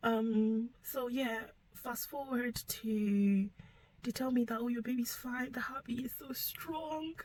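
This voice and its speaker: Soft-spoken and high-pitched, a woman talks at a very slow pace with fairly even intonation. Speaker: vlogger sharing personal story. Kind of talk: personal testimony.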